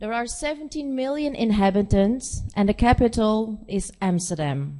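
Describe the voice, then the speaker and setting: With a Dutch accent, a woman talks at a moderate pace in a fairly high, dark and mellow voice, her intonation lively. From Netherlands (born in Korea, adopted at four). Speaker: nurse practitioner. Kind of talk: conference presentation. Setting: conference stage. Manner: halting, many fillers.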